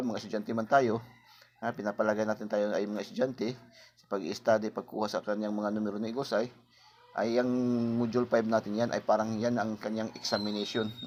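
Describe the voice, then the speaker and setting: Speaking at a very fast pace, a man holds a medium pitch with monotone, flat intonation. His loudness swings widely. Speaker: lottery tips vlogger. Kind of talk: casual tutorial. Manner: repetitive filler-heavy.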